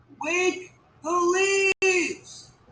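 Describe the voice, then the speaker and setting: A put-on character voice comes out squeaky and extremely high. Its intonation stays monotone and flat. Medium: read story.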